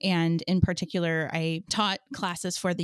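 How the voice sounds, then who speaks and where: A woman speaks on a very clean recording with a silent background. The sound is dry and close, with no echo. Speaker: podcast host. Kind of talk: interview.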